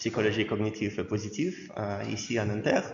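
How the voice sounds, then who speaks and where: Over audible room echo, a man speaks at a fairly low pitch and a fairly slow pace. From Russia. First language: Russian (speaking French). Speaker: university lecturer. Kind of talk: lecture. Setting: lecture hall with students. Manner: halting, frequent hesitations.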